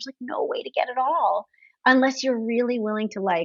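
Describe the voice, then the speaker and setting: A woman talks at a very fast pace. Vocal fry runs through her voice. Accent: American. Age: 50s. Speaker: gynecologist. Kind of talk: casual chat.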